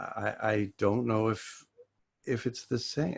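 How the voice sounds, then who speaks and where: A man talks with an American accent. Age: 60s. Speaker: author. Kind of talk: interview. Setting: video call. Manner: halting.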